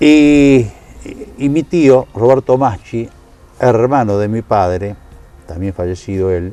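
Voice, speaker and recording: Over music in the background, a man with a Rioplatense accent speaks at medium pitch and a very slow pace, with lively intonation and long, frequent pauses. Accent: Argentine Rioplatense Spanish. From Argentina, Buenos Aires province (Tres Arroyos). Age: 70s. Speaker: sports announcer, interviewee. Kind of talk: interview.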